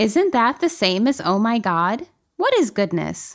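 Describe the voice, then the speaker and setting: A woman speaks at a fairly slow pace in a plain, everyday voice. The recording is very clean, with a silent background. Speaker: podcast co-host. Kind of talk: casual chat. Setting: studio.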